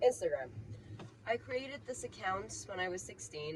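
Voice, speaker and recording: A Persian accent over noticeable background noise. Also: woman. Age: 20s. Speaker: vlogger. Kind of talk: casual rant monologue. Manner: unscripted, with fillers.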